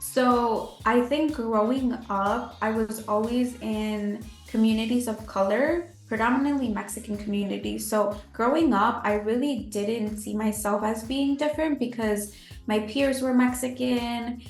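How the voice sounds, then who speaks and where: Over music in the background and audible room echo, a woman speaks at a fairly slow pace with hardly any pauses, her fairly high pitch carrying fairly even intonation. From Chicago, US. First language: Spanish. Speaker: sociology PhD candidate. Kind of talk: interview.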